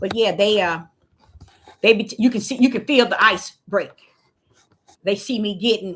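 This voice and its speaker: An animated tone at a moderate pace, with ordinary pitch variation. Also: woman. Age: 60s. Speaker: street preacher. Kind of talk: livestream sermon. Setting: livestream from a laptop.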